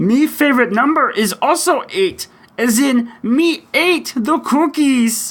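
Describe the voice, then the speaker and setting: A man puts on a gravelly character voice at an extremely high pitch, speaking at a fairly slow pace. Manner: playful, gruff.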